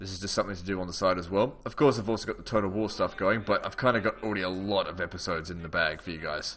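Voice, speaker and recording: A man's very deep, low voice with an Australian accent, a very fast pace, hardly any pauses, ordinary pitch variation and big swings in loudness. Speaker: gaming YouTuber. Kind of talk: casual let's play commentary.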